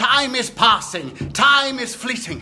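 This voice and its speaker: A man's put-on character voice, extremely high-pitched and cackling, at a fairly slow pace with music in the background. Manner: eerie, mocking.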